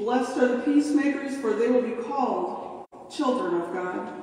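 The speaker talks at a fairly slow pace over light background noise. Strong room echo surrounds the voice. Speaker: pastor reading scripture. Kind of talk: scripture reading. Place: church.

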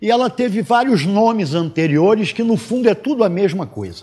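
Very wide pitch swings at a moderate pace. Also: man, quiet background. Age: 70s. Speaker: mathematics teacher. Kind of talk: lecture. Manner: conversational. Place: classroom. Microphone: lapel.

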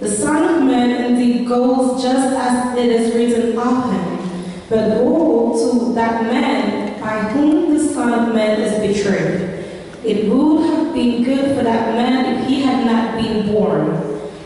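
A woman with a high voice speaks very slowly, with ordinary pitch variation and strong room echo. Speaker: scripture reader. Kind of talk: scripture reading. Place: church. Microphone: pa.

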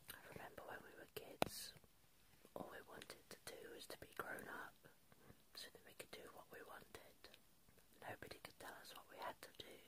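A soft-spoken woman whispers at a moderate pace with long, frequent pauses. Loud background noise fills the recording. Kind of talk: intimate roleplay talk to viewer. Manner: soft close whispery sleepy talk. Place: home room. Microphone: phone near.

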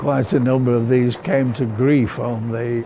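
A man's medium-pitched voice in a British accent, monotone and flat, over noticeable background noise. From Britain. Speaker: war veteran. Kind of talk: interview answer. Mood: solemn, emotional remembering. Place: home room. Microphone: lapel.

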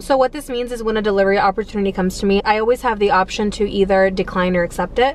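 A woman at a very fast pace with ordinary pitch variation, in a dry sound with no echo and light background noise. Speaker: delivery driver vlogger. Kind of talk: casual vlog chat. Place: car. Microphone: phone near.

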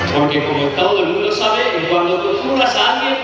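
Amid noticeable background noise and strong room echo, a man speaks fairly quickly in a high pitch with ordinary pitch variation. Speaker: town festival proclaimer (pregonero). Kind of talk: festival proclamation speech with humorous history. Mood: humorous, ironic storytelling. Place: stage.

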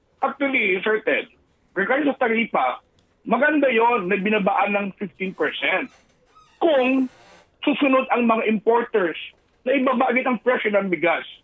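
Speaking at a fairly slow pace, a man has an extremely high pitch and lively intonation. His loudness stays very even. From Philippines, Eastern Visayas. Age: 50s. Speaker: rice retailers' association leader. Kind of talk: radio phone interview.

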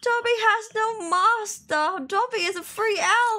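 A woman's squeaky, put-on character voice, raised and projected, at an extremely high pitch. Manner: defiant, proud.

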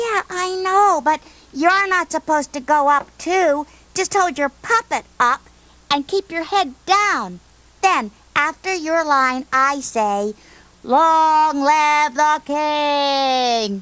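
Cartoonish character voice, high in pitch and very slow. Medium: puppet show. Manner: patient, instructive, slightly exasperated.

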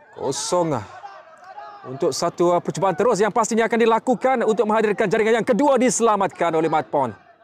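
An animated, high-pitched man with lively intonation at a fairly quick pace, with crowd noise in the background. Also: very even loudness. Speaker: football commentator. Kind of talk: live football commentary, play-by-play. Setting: football pitch, friendly match. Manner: fast, animated, rising-and-falling excitement at chances and goals.

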